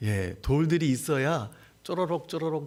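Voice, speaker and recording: Audible room echo surrounds a man speaking at a moderate pace and medium pitch with lively intonation. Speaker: missionary preacher. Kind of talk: sermon. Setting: church service. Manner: halting.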